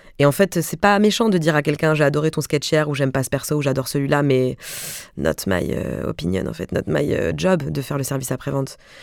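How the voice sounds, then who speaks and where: Vocal fry runs through a woman's very deep, low voice. Her intonation is lively. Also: fairly quick pace. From Alsace, Mulhouse. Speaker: comedian and actress. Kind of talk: interview conversation. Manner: animated.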